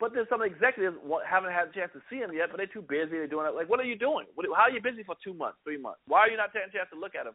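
A man's high-pitched, animated voice at a very fast pace with hardly any pauses, lively intonation, and big swings in loudness. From Germany (US military family). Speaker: comedian. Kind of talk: casual interview.

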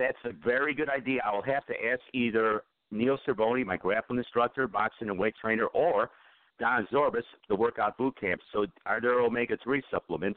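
A man talks at a moderate pace in a normal speaking voice, with an American accent. His pitch is medium and his pitch variation is ordinary. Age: 50s. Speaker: internet radio host. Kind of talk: casual talk radio. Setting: online radio call-in show.

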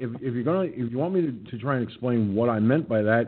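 A man talks at a fast pace with a medium pitch, ordinary pitch variation and a slightly husky edge.

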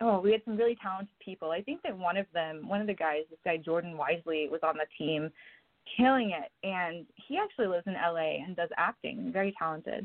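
A woman's medium-pitched, ordinary speaking voice at a fairly quick pace, with ordinary pitch variation. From Oklahoma. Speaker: actress and stunt performer. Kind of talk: interview.

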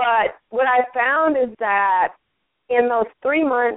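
Ordinary pitch variation marks a woman's speech in an American accent. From US Midwest (St. Paul, Minnesota). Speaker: talk show host and coach. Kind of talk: interview, casual chat.

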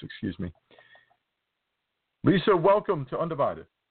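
A man speaks with a New Jersey accent. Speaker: podcast host. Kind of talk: interview.

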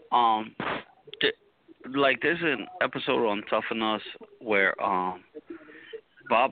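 A man speaks at a fairly low pitch. His pitch varies in an ordinary way. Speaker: wrestling fan caller. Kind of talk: casual chat, bantering with the host. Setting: phone call. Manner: animated, jokey, chatty.

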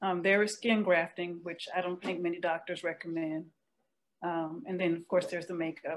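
A woman speaks in a fairly low, flat monotone. Her pace is moderate. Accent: American. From North Carolina. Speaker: vitiligo support group co-leader. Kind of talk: radio interview. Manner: halting.

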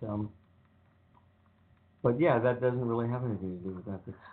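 A man speaks at a fairly low pitch with vocal fry and ordinary pitch variation. Room echo is audible.

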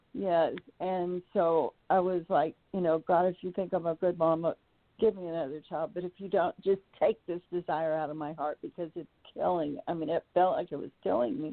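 A woman with a plain, everyday voice talks at a moderate pace, her fairly low pitch showing ordinary variation. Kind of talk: personal testimony.

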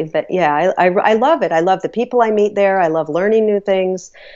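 A normal speaking voice from a woman, medium in pitch, at a moderate pace with ordinary pitch variation. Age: 50s. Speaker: author and matchmaker, radio show host. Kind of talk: casual interview chat.

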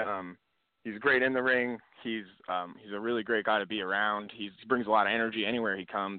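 Very fast pace from a man at medium pitch. His intonation stays fairly even. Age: 20s. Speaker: professional wrestler. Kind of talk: interview. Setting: phone call.

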